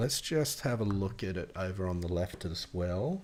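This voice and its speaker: A man with an Australian accent speaks at a fairly slow pace in a fairly low pitch, using ordinary pitch variation. The recording is very clean, with a silent background. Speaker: AI app developer and tech YouTuber. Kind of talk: tutorial. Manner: casual, thinking aloud with fillers.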